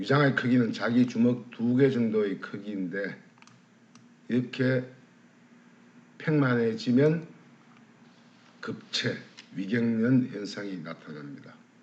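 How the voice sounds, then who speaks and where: Over audible room echo, a man at medium pitch speaks very slowly with long, frequent pauses, ordinary pitch variation and big swings in loudness. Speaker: alternative medicine lecturer. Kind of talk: lecture.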